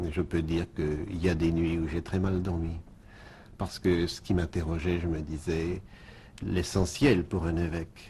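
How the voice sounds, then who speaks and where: Pausing long and often, a man talks at a fairly slow pace in a very deep, low, somewhat breathy voice with a dark, mellow tone. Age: 60s. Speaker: bishop. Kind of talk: radio interview. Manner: halting, repeats words.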